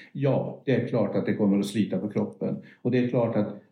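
Audible room echo surrounds the voice. The delivery is at a moderate pace. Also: man. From northern Sweden, Örnsköldsvik. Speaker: veterinarian. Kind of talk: interview. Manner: halting.

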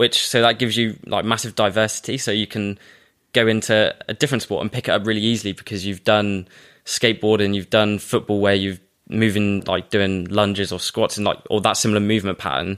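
On a very clean recording with a silent background, a man with an ordinary speaking voice talks at a fairly quick pace, fairly low in pitch with fairly even intonation. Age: young. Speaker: personal trainer and surf coach. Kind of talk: casual interview chat.

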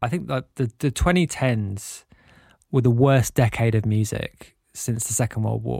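On a very clean recording with a silent background and a dry, close sound with no echo, a man of medium pitch with a dark, mellow tone talks at a fairly slow pace with ordinary pitch variation. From North London, England. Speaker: DJ and record label owner. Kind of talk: interview. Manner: halting, with fillers.

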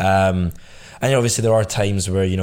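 His pitch sits very deep and low. This man's intonation is fairly even throughout. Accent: Scottish. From Scotland, Glasgow. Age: 20s. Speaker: entrepreneur. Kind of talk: casual chat.

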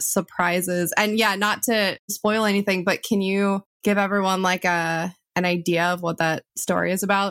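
A woman talks in a plain, everyday voice at a medium pitch. Her pace is fairly slow. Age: 30s. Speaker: podcast host. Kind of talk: interview.

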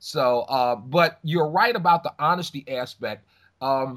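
The intonation is lively as this man talks. Behind him the background is silent, and the recording is very clean. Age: 40s. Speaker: radio DJ and program director. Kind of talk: casual interview chat. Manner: halting, many repetitions.

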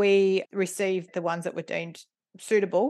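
Against a quiet background, a woman with an Australian accent speaks at a medium pitch. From Melbourne, Australia. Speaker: board director and governance consultant. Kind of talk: interview.

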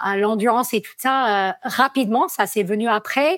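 A woman talks with an American accent and lively intonation. The recording is very clean, with a silent background. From United States. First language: English (speaking French). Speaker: trail runner, athlete. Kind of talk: podcast interview. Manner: hesitant, many fillers.

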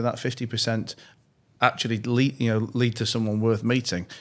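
A man's fairly quick speech at medium pitch, in a Yorkshire accent. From northern England, Leeds. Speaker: entrepreneur and investor. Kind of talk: interview. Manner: frequent repetitions and restarts.

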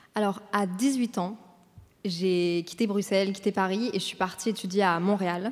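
This woman's medium-pitched voice moves at a fairly slow pace with fairly even intonation. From Brussels, Belgium. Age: 20s. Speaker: content creator and podcaster. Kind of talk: interview on stage. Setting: stage with audience.

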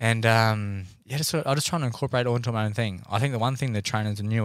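A man with an Australian accent, fairly low pitch and ordinary pitch variation. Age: 20s. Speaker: professional boxer. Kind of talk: casual chat.

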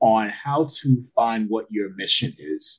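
At a very slow pace, a man speaks with a medium pitch. His voice is somewhat breathy. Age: 30s. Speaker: therapist podcast co-host. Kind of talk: casual chat.

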